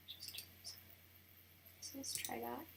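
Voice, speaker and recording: The words are whispered at a moderate pace. Noticeable background noise runs underneath. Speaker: wedding photographer. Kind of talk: tutorial. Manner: casual, thinking aloud.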